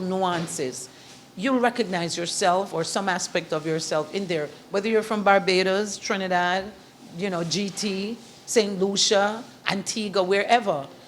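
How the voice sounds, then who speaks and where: A woman speaks with a Jamaican accent at a medium pitch. Her pace is moderate, and her pitch varies in an ordinary way. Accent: Jamaican lilt, kept. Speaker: author and event host. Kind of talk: interview. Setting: in a shop. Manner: animated.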